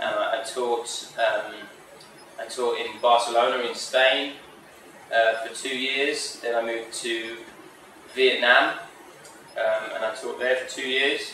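Over light background noise and audible room echo, a man speaks very slowly with long, frequent pauses. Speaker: teacher being interviewed. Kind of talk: interview answer. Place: office. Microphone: camera far.

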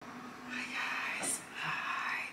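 Someone whispers over noticeable background noise. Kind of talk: ASMR baking tutorial. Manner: whispered.

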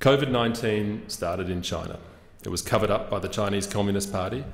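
A man with a fairly low pitch talks at a fairly quick pace, with audible room echo around his voice. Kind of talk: formal parliamentary speech. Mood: earnest, firm. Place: hall. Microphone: podium.

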